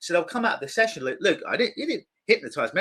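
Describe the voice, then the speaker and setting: A man speaks with an English accent. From London, England. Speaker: clinical hypnotist. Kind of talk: interview.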